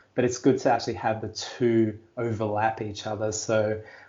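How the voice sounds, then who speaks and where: With an Australian accent, a man speaks in a fairly low, somewhat breathy voice, with audible room echo. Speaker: life coach and digital creator. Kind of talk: podcast interview.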